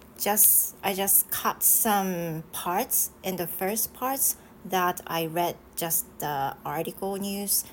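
Speaking very slowly, a woman with a Japanese accent uses a medium pitch. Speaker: English teacher. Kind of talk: casual chat. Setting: live stream.

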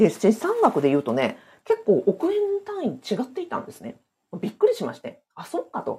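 A woman's loudness swings widely as she talks at a moderate speed. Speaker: former civil servant, side-business and real estate coach. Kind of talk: live-streamed solo talk. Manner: many fillers, conversational.

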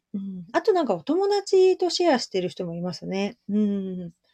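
Somewhat breathy and dark, mellow in tone, the voice moves at a moderate pace with very wide pitch swings over a quiet background. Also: woman. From Japan, Shizuoka. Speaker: clothing maker and livestreamer. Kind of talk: casual live-stream monologue. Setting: live audio stream. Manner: frequent fillers, meandering.

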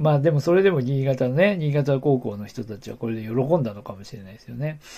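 A man talks at a fairly quick pace with lively intonation and a medium pitch. His tone is dark and mellow, and somewhat breathy. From Aomori, Japan. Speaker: podcast host. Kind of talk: casual solo talk about local history. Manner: hesitant, many fillers.

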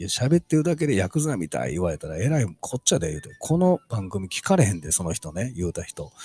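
The voice moves at a fairly quick pace with very wide pitch swings, a somewhat breathy, dark, mellow tone and a dry, close sound with no echo. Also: man, very clean recording, silent background. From Osaka, Kansai (Kyoto side). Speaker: podcast host. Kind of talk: casual solo talk.

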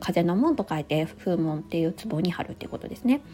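The woman talks at a very fast pace. Background noise is noticeable. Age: 30s. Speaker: podcaster and working mother. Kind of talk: casual solo talk. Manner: many hesitation fillers.

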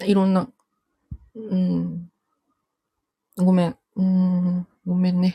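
Very slow with long, frequent pauses, a woman speaks in a monotone, flat voice of medium pitch that is somewhat breathy with a dark, mellow tone. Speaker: livestream listener joining to talk. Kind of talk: casual conversation. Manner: giggly.

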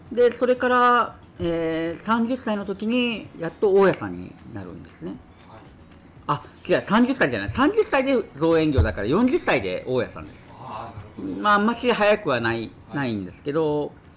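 Over music in the background, a man talks at a moderate pace in a high pitch, with very wide pitch swings and big swings in loudness. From Kyushu. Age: 50s. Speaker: landlord and investment mentor. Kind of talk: casual interview.

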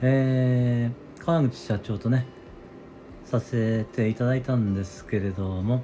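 He talks at a very slow pace. His intonation stays fairly even. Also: medium pitch for a man. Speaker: neurotherapist and audio-app show host. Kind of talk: solo casual talk broadcast. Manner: hesitant with many fillers.

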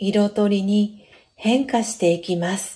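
Her tone dark and mellow and somewhat breathy, a woman speaks at a very slow pace with ordinary pitch variation. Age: 30s. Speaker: podcast host. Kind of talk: casual chat; reading aloud. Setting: live stream. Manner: frequent fillers.

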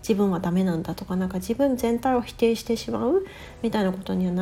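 Noticeable background noise sits behind this woman's voice. She speaks at a fairly quick pace with ordinary pitch variation. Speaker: life coach. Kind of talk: casual chat.

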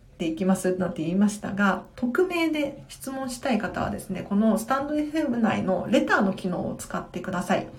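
Her pitch swings very widely at a moderate pace, with noticeable background noise and audible room echo around her. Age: 20s. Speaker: tidying consultant, live-stream host. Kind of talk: live-stream Q&A, casual chat.

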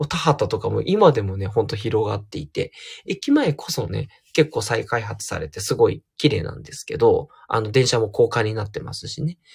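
A soft-spoken man in a relaxed tone, with big swings in loudness, on a very clean recording with a silent background. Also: moderate pace. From Tokyo, Japan. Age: 40s. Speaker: counselor and podcaster. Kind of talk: solo audio diary monologue. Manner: soft, androgynous delivery; relaxed, many fillers.

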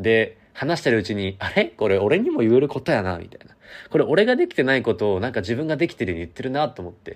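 A man talks at a very fast pace, with very wide pitch swings and big swings in loudness. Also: medium pitch for a man. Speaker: university student radio host. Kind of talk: solo talk.

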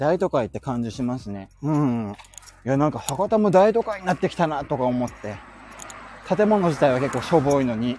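Very wide pitch swings from a man talking at a moderate speed, with noticeable noise behind him. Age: 30s. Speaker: podcaster. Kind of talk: casual chat. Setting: outdoors.

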